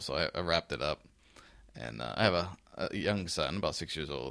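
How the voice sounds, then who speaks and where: Recorded very cleanly against a silent background, a man speaks at a fairly quick pace with vocal fry. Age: 40s. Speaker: fitness podcast host. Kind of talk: casual solo podcast monologue.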